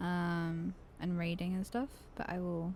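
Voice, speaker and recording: Soft-spoken woman at medium pitch, with a dark, mellow tone. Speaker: livestreamer. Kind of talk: casual chat. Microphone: too quiet.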